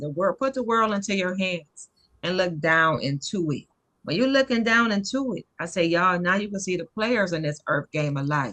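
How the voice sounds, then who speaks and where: Speaking at a moderate pace with an American accent, a woman has a fairly low pitch, lively intonation and a bright, sharp tone. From US South. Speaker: natural health author. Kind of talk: casual chat. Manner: emotional.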